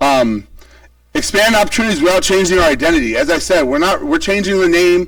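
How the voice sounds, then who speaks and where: Through noticeable background noise, a man's speech moves at a fairly quick pace. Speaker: school principal. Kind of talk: presentation to a public meeting. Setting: public meeting with boards. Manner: fast.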